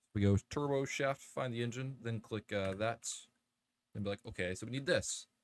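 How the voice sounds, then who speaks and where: This is a man with a plain, everyday voice, medium in pitch with ordinary pitch variation. He speaks at a moderate pace, and the sound is dry and close with no echo. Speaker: gaming youtuber. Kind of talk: let's play commentary. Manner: casual, rambling with fillers.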